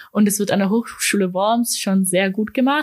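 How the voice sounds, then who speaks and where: On a very clean recording with a silent background, a woman with a plain, everyday voice speaks at medium pitch and a moderate pace, her intonation fairly even. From Germany (Ulm), partly Austria. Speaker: university student. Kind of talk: interview. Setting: studio.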